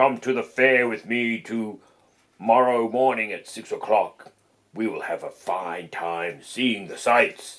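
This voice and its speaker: A man puts on a raspy character voice at a medium pitch. He speaks at a fairly slow pace. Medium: read story. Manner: scheming, falsely friendly.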